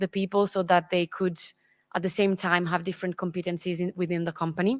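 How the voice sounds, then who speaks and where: A woman with an Italian accent speaks at a medium pitch with fairly even intonation, on a very clean recording with a silent background and a dry, close sound with no echo. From Italy. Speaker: engineering consultant. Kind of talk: conference presentation. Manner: halting.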